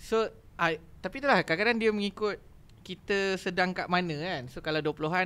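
Bright and sharp in tone, a man talks at a moderate pace with lively intonation. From Malaysia. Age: 30s. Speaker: academy operations head; podcast guest. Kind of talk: casual chat. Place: studio. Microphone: studio mic.

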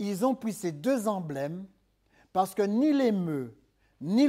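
Very wide pitch swings mark this man's dark, mellow tone at a very slow pace. The background stays quiet. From third-world country. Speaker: preacher. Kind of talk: sermon. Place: church.

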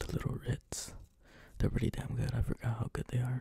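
A man is whispering. His tone is relaxed. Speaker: ASMR creator. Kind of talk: ASMR casual talk to camera, soft whispering. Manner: soft-spoken, whispery, relaxed. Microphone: studio mic.

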